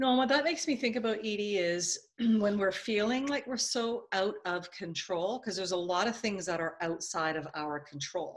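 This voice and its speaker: The speaker has an ordinary speaking voice and lively intonation. The pace is moderate, with hardly any pauses. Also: woman, medium pitch for a woman. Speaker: video host and consultant. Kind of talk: interview.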